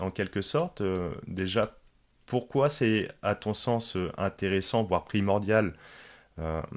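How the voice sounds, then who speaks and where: Very clean and free of background sound, the recording captures a man with a fairly low pitch. He speaks at a very slow pace with ordinary pitch variation. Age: 30s. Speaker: podcast host. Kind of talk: interview. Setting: podcast recording. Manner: hesitant, many fillers.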